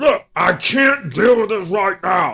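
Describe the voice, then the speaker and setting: This man puts on a character voice, pitched high and delivered at a fairly slow pace. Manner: impatient, brusque.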